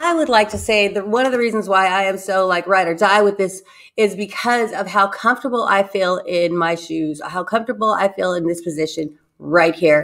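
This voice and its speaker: Against a quiet background, a woman speaks at a fairly quick pace with ordinary pitch variation. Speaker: book club co-host. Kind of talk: casual chat. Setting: live stream. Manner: playful. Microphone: video call.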